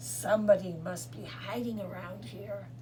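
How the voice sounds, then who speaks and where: A put-on character voice speaks at a moderate pace. Background noise is clearly heard. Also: woman. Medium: read story.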